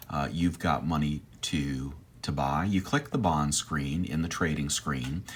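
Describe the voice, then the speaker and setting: With vocal fry, a man speaks fairly slowly in a very deep, low pitch. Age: 60s. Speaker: personal finance YouTuber. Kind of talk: screen-share tutorial. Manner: hesitant, many fillers.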